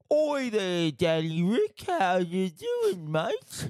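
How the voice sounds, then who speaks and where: A put-on character voice in a British accent, middle pitch, very slow pace. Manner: casual, friendly.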